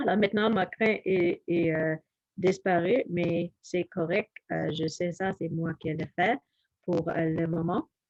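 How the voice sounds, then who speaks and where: A woman with an English accent speaks at a very slow pace. Her voice is fairly low, with fairly even intonation. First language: English (speaking French). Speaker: health educator. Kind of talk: health presentation. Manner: halting, many fillers.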